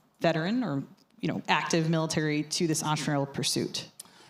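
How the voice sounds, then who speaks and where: A woman's very deep, low voice with fairly even intonation, on a very clean recording with a silent background. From New York. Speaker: panel moderator. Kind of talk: panel discussion. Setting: stage with audience. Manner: loud.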